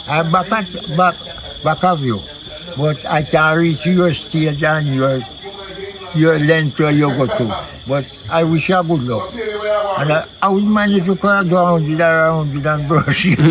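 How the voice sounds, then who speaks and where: There is noticeable background noise as a man speaks at a fairly slow pace. His pitch is fairly high and his loudness very even. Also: ordinary pitch variation. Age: 90s. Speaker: village elder. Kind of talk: interview. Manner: halting.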